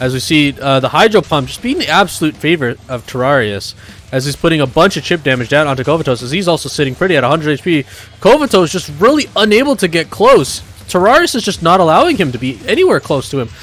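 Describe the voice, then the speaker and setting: A man talks at a very fast pace with lively intonation and a fairly high pitch. Noticeable background noise sits behind him. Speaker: esports commentator. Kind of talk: live commentary. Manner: animated.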